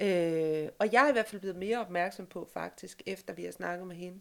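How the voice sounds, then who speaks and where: A woman with a normal speaking voice talks at a fairly slow pace and a medium pitch with ordinary pitch variation. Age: 50s. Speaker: podcast host, journalist and social worker. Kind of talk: casual chat. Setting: home sofa used as studio.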